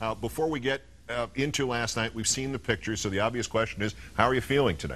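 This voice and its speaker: A man with a medium-pitched voice and ordinary pitch variation talks at a very fast pace. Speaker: TV news anchor. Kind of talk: TV news broadcast.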